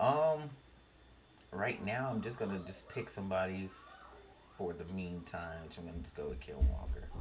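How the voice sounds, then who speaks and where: Mumbling at a moderate pace with long, frequent pauses, a man with a very deep, low pitch makes very wide pitch swings and big swings in loudness, over noticeable background noise and audible room echo. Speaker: gaming streamer and fantasy football content creator. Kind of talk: casual solo commentary while building fantasy lineups. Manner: mumbling, thinking out loud.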